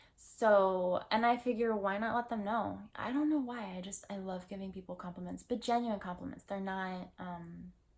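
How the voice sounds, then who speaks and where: Soft-spoken and at a medium pitch, a woman talks at a moderate pace with ordinary pitch variation, hardly any pauses and big swings in loudness. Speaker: lifestyle vlogger. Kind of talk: personal vlog monologue. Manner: casual, filler-heavy.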